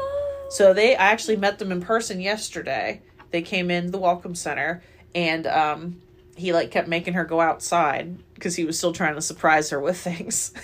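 A woman with an unremarkable speaking voice speaks at a moderate pace in an American accent, her pitch fairly low for a woman. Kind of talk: casual chat.

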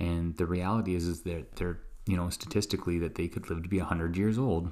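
Over a very clean recording with a silent background, a man with a very deep, low pitch speaks at a fairly quick pace and with fairly even intonation. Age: 40s. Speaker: podcast host and doctor. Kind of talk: casual monologue. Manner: hesitant, many fillers.

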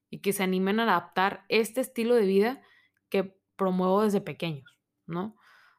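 A woman with an ordinary speaking voice at a moderate pace, on a very clean recording with a silent background. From Monterrey, Mexico. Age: 20s. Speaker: podcast host, university student. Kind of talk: solo podcast monologue. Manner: casual, conversational.

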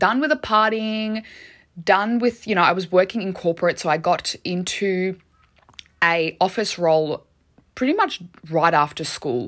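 Her tone animated and her intonation lively, a woman speaks in a medium pitch at a moderate pace. She takes long, frequent pauses. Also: very clean recording, silent background. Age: 30s. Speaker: podcast host and life coach. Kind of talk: casual solo podcast monologue.

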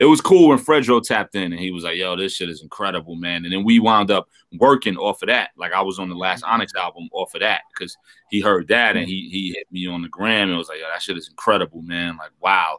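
A man with a New York accent talks very fast in a very deep, low voice, his pitch varying an ordinary amount. His loudness swings widely, and the sound is dry and close with no echo. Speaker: rapper. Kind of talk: interview. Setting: video call.

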